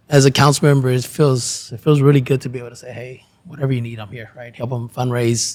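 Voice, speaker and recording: In an American accent, a man rattles off words at a very fast pace with hardly any pauses, his intonation monotone and flat while his loudness swings widely. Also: medium pitch for a man. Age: 40s. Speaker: city council member. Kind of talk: interview.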